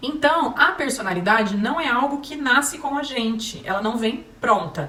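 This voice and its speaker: A woman is heard over noticeable background noise. Room echo is audible. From Paraná, Brazil (Maringá). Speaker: parenting speaker, psychology. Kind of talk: talk to parents.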